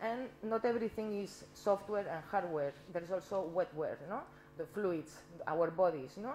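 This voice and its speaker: A woman in a Catalan accent talks with big swings in loudness over light background noise. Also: lively intonation, moderate pace. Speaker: activist and symposium panelist. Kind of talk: conference panel talk. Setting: stage with audience. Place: meeting room. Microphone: podium.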